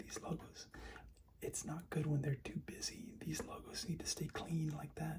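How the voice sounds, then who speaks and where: Someone is whispering. The pace is fairly slow. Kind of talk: soft-spoken ASMR card showing. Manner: soft-spoken.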